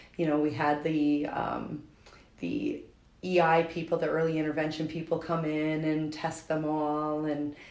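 In an audible room echo, a woman with an American accent speaks at a fairly slow pace. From Albany, New York. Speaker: teacher and mother of triplets. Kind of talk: interview testimony. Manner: hesitant, many fillers.

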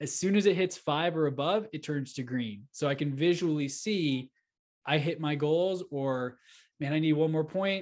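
Against a quiet background, a man with an American accent and a plain, everyday voice speaks at a moderate pace, his fairly high pitch showing ordinary variation. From Texas, Houston area. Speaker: real estate entrepreneur and podcast host. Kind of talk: interview.

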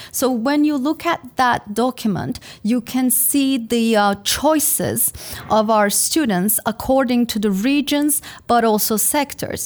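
At a fairly slow pace, a woman speaks with a high pitch and very even loudness. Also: ordinary pitch variation. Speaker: career services director. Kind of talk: interview.

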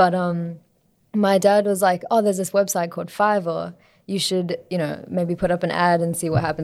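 A woman speaks at a moderate pace in an Australian accent, her pitch fairly low. Her intonation stays flat and monotone. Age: 20s. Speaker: singer-songwriter and music student. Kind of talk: casual interview.

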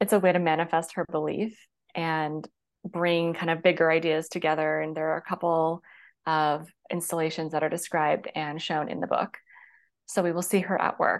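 In a quiet background, a woman speaks at a moderate pace in a West Coast US accent. Her pitch is fairly low and her intonation is monotone and flat. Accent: General American (West Coast). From US Pacific Northwest, Seattle. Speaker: romance author. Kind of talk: casual interview.

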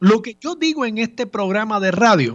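A man's voice with very wide pitch swings. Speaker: radio host, lawyer. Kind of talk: radio talk show commentary. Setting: radio studio.

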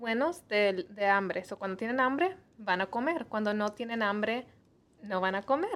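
A woman talks in an ordinary speaking voice, pitched fairly high. Her pace is fairly slow. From US Midwest (Missouri), Mexican parents. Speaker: nutritionist. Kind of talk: interview on health show.

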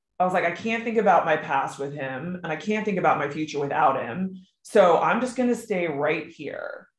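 Against audible room echo, a woman with a fairly low pitch speaks at a moderate pace with lively intonation and hardly any pauses. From Maryland, US. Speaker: author, widow. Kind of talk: casual interview conversation.

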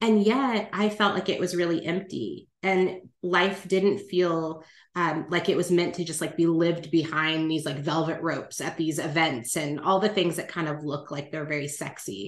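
A woman with an American accent talks in a plain, everyday voice at a moderate pace. Her pitch is fairly low, with ordinary variation. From California. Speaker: life planner and relationship coach. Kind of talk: interview conversation.

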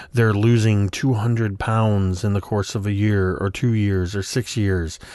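With a normal speaking voice, a man speaks fairly slowly at a fairly low pitch with fairly even intonation over a quiet background. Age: 40s. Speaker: weight loss podcaster. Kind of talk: personal audio journal monologue.

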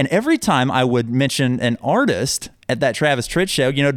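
A man talks at a fairly quick pace with a medium pitch. He has an ordinary speaking voice. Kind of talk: heartfelt on-air-style chat, warm thank-you sign-off to the host. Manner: earnest, warm and sincere, gushing with gratitude.

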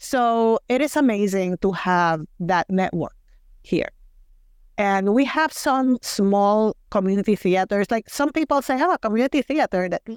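A woman with a Puerto Rican accent speaks at a fairly slow pace in a medium pitch, with very wide pitch swings. The recording is very clean with a silent background, dry and close with no echo. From Puerto Rico. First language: Spanish. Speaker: community theater actor. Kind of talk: casual interview.

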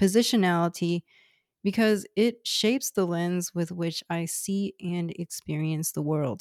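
A woman with a fairly low voice speaks at a fairly slow pace with ordinary pitch variation, in a very clean recording with a silent background and a dry, close sound with no echo. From Houston, Texas. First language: Cantonese. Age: 30s. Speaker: podcast host, public health nutrition background. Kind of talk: scripted narration.

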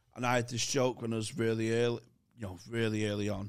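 On a very clean recording with a silent background, a man speaks at a medium pitch with a Manchester accent. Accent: Mancunian-sounding northern English. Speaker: comedian and podcast co-host. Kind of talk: casual chat.

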